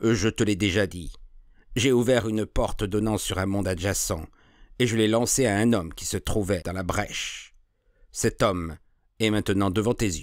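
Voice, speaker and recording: Using a put-on character voice, a man speaks in a resonant, fairly low pitch at a moderate pace with fairly even intonation. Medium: read story. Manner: glib, persuasive.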